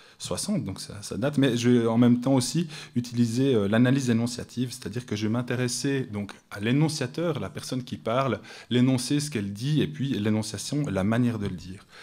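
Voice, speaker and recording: With a Swiss accent, a man speaks at a fairly quick pace in a dark, mellow tone at medium pitch, his ordinary pitch variation paired with big swings in loudness and audible room echo. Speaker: academic researcher. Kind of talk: conference talk. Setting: conference room with audience. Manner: hesitant, many fillers. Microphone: too far from the microphone.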